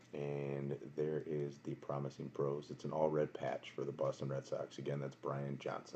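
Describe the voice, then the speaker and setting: A quiet man with an American accent, very deep and low in pitch, dark and mellow in tone, with vocal fry, monotone, flat intonation and a moderate pace. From Wisconsin, Milwaukee. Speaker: card box breaker streamer. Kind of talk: live stream card break commentary. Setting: home at night, live stream. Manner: quiet, subdued.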